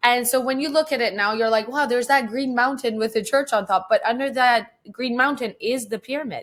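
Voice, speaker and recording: In a Persian accent, a woman talks at a fairly quick pace with a high pitch and hardly any pauses. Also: ordinary pitch variation. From Iran until age 10, then Vancouver, Canada. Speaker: photographer. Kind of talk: casual interview chat.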